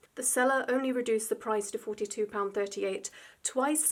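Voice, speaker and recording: With a British accent, a woman talks at a moderate pace in a fairly high pitch. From UK. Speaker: artist YouTuber. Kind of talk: unboxing video.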